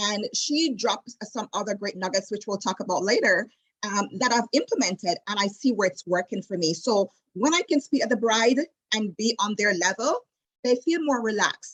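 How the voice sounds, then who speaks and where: At a moderate pace, a woman speaks with a Jamaican accent and ordinary pitch variation. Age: 40s. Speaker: destination wedding travel advisor. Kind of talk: casual interview chat. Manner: animated.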